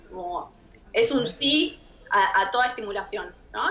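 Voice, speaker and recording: A high-pitched woman with a Rioplatense accent, very wide pitch swings and a fairly slow pace. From Argentina. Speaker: sexologist; guest. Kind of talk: expert Q&A on radio. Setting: studio. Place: home room. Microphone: too quiet; video call.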